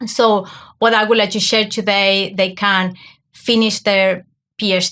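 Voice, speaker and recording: A woman with an Argentine accent, medium in pitch, bright and sharp in tone, monotone and flat in intonation, at a moderate pace on a very clean recording with a silent background. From Argentina. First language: Spanish. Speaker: academic coach. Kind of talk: podcast interview.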